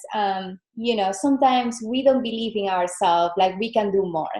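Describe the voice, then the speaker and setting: A woman speaks with a Venezuelan accent at a fairly slow pace. Her pitch is fairly high and varies in an ordinary way. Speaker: fitness business coach. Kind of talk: guest presentation on call. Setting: video call from home.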